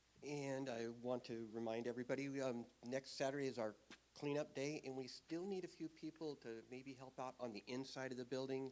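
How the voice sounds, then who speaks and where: A man talks at a fairly quick pace. His pitch is medium and his intonation fairly even. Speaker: church volunteer. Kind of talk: church announcements. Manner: loud.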